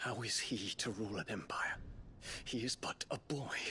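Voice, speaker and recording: A man speaks in a put-on character voice at a medium pitch, his loudness very even. Clear background noise runs behind him. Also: moderate pace. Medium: video game. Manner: earnest, formal.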